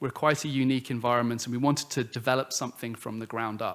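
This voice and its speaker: A man with an American accent at medium pitch, on a very clean recording with a silent background. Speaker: government culture officer. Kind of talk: conference presentation. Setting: conference panel with audience.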